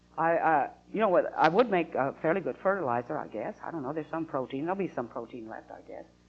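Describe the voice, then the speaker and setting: A woman with an American accent, a very fast pace, very wide pitch swings and vocal fry. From Utah. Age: 60s. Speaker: atheist activist. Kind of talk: interview. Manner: halting.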